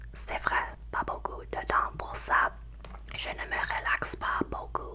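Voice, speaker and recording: A woman whispers, soft-spoken throughout. Noticeable background noise sits behind her. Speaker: ASMR creator; university or school student taking summer courses. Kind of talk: whispered ASMR ramble to camera. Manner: whispered, soft.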